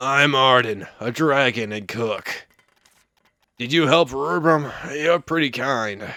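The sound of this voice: A man's gruff, put-on character voice at a medium pitch, at a fairly slow pace with long, frequent pauses.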